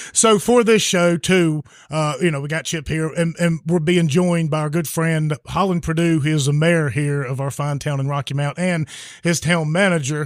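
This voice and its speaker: Fairly high-pitched, a man with a southwest Virginia accent talks at a moderate pace with ordinary pitch variation. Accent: southwest Virginia, Franklin County. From Franklin County, southwest Virginia. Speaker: podcast host. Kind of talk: casual chat. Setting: live recording in a bar.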